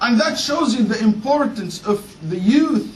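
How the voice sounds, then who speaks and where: Against noticeable background noise and audible room echo, a man talks at a moderate pace with lively intonation. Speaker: Islamic preacher. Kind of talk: sermon.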